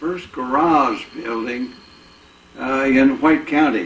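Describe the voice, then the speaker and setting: Over noticeable background noise, a man with an American accent speaks at a very slow pace with ordinary pitch variation. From Indiana. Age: 80s+. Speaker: war veteran and car dealer. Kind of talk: oral history interview. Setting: at his home, filmed. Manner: halting, many filler words.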